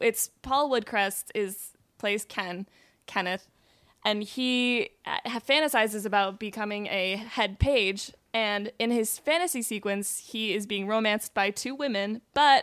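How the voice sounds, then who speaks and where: A woman speaks at a fairly slow pace in an ordinary speaking voice, her pitch fairly high with ordinary variation. The sound is dry and close, with no echo. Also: very clean recording, silent background. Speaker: comedy writer. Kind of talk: casual chat. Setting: studio.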